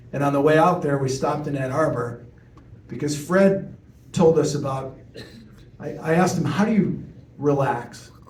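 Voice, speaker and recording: A man with an American accent speaks at a moderate pace in a fairly high voice with ordinary pitch variation. He pauses often and at length, and the room echo is audible. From US Midwest, Chicago. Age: 60s. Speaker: TV news reporter. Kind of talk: talk to audience, storytelling Q&A.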